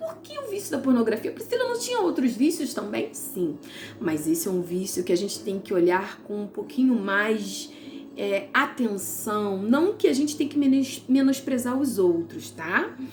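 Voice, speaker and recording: A woman speaks fairly slowly in a high, warm voice with very wide pitch swings, over background music and with audible room echo. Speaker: Bible teacher. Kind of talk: devotional Bible teaching. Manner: warm, conversational.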